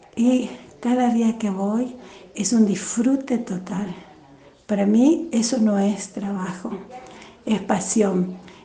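Amid noticeable background noise, a woman with a fairly high pitch speaks very slowly with ordinary pitch variation and long, frequent pauses. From Corrientes, Argentina, raised in Misiones. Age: 50s. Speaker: music teacher and actress. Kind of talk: interview.

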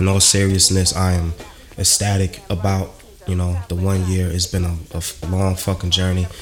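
A man's very deep, low monotone at a moderate pace, with music in the background. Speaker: podcast host. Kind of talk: casual chat. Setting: studio.

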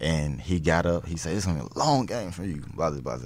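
A man with a very deep, low pitch talks at a very fast pace in a Southern US accent. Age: 20s. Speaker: NFL cornerback. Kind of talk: casual interview.

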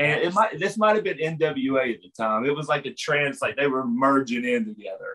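A man with an American accent talks with fairly high pitch and lively intonation. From West Virginia. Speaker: pro wrestler guest. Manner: animated, jokey.

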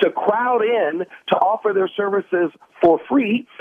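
The speaker is a man. His voice is high in pitch. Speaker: political commentator. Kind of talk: radio interview.

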